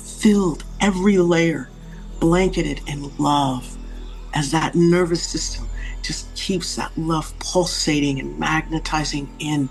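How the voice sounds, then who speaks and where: A woman speaking at a very slow pace, with music in the background. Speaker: channeller and guided meditation leader. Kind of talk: guided meditation, live channelling. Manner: slow, calm, soothing.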